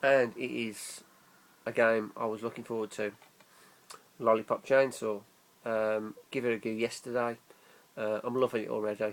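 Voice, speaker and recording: A man with an English accent speaks at a medium pitch in a monotone, flat intonation, leaving long, frequent pauses. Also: moderate pace. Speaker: gaming YouTuber. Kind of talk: casual vlog. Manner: slurred.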